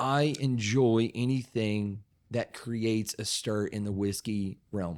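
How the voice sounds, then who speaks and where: Speaking very slowly in an Appalachian accent, a man keeps a fairly even intonation at a medium pitch. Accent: Appalachian Southern US. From Southeastern Kentucky, Appalachian foothills. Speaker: whiskey distiller. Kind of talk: casual chat. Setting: studio.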